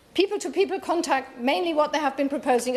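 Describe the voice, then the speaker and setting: Noticeable background noise runs under a woman's speech. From Germany. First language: German. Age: 60s. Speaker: politician. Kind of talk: parliamentary debate speech. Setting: parliamentary chamber. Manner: halting, with fillers.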